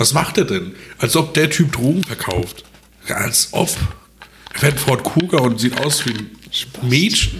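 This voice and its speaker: Amid noticeable background noise, a man with a fairly high pitch and lively intonation speaks with long, frequent pauses. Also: fairly slow pace. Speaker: podcast co-host. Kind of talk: casual chat. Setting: at home at his dining table.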